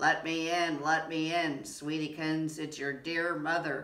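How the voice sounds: A put-on character voice, gruff and growling, middle pitch, monotone and flat, at a fairly slow pace.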